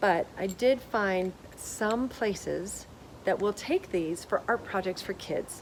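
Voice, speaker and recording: A woman speaks in an ordinary speaking voice. Her pitch is medium, with ordinary pitch variation. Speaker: sustainability blogger. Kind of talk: tutorial.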